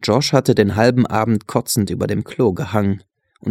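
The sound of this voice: Against a quiet backdrop, an unforced reading voice.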